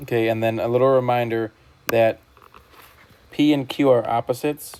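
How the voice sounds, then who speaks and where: A man's medium-pitched voice holds a monotone, flat intonation while noticeable background noise runs underneath. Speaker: math teacher. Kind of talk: recorded lesson. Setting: whiteboard screen recording. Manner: fast; casual.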